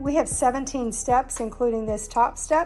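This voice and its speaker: With music in the background, a woman in an American accent talks at a high pitch and a fairly slow pace, using ordinary pitch variation. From Florida, USA. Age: 50s. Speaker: DIY home video creator. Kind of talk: casual DIY tutorial talk to camera.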